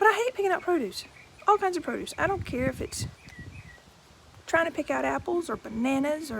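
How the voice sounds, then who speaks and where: Extremely high pitch from a woman, with very wide pitch swings, long, frequent pauses and noticeable background noise. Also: fairly quick pace. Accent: Southern US. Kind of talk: casual, chatty.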